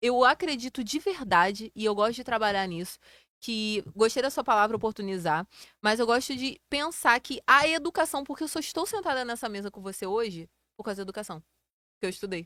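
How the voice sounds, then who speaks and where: A woman's fairly high-pitched voice, bright and sharp in tone, with big swings in loudness and a dry, close sound with no echo. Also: lively intonation, very clean recording, silent background. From Rio de Janeiro state interior, Brazil. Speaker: electrical engineer. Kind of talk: interview.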